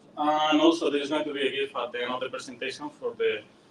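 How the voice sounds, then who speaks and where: A fairly high-pitched man with a Spanish accent, talking very fast against noticeable background noise. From Spain, Madrid. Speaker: software engineer and business coach. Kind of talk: presentation. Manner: halting.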